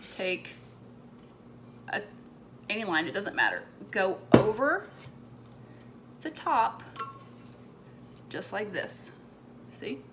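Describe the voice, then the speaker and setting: A woman speaks at a very slow pace, with long, frequent pauses and big swings in loudness. Noticeable background noise runs underneath. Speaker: crafter making a tumbler cup tutorial. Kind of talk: tutorial. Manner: casual, chatty.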